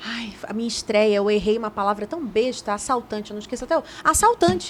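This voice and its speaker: There is noticeable background noise. Over it, a woman speaks with a fairly high pitch. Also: ordinary pitch variation, fairly quick pace. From Brazil, Belém do Pará. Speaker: journalist and TV presenter. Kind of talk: casual interview chat. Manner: talkative.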